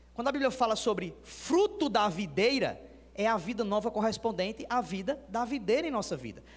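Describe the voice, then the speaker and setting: A man's high-pitched, animated voice at a moderate pace, with ordinary pitch variation. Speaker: pastor. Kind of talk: sermon.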